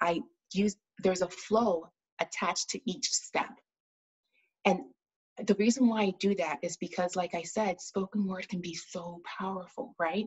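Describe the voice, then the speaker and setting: A woman with a somewhat breathy, medium-pitched voice speaks at a moderate pace with ordinary pitch variation and long, frequent pauses. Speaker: spoken word poet and pharmacist, speaker and author. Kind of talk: interview answer, explaining her method.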